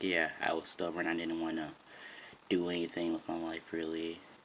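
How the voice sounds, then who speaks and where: A quiet voice in an American accent at a fairly quick pace. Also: man. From Boston, Massachusetts. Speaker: vlogger. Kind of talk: casual vlog talk. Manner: quiet, keeping voice down.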